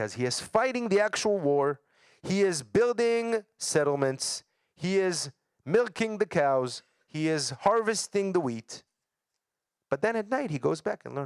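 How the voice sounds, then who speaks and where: The speaker talks at a fairly slow pace with an Israeli accent, pitch swinging very widely, in a dry, close sound with no echo. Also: man, high pitch for a man. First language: Hebrew. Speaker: educator. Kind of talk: lecture.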